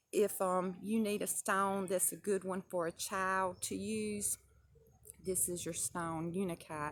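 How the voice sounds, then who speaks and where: Relaxed in tone, a woman with a Southern US accent talks at a fairly slow pace. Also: medium pitch for a woman, ordinary pitch variation. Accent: Southern twang. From US South. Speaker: crystal and spell work vlogger. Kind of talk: casual tutorial. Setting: outdoors at the edge of the woods. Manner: relaxed, with many fillers (um).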